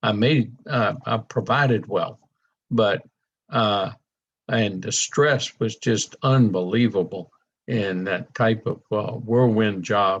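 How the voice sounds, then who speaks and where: Speaking very slowly with a Louisiana accent, a man uses a medium pitch and ordinary pitch variation. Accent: southern US (Louisiana). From US South (south Louisiana). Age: 70s. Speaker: network marketing presenter. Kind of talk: sales presentation.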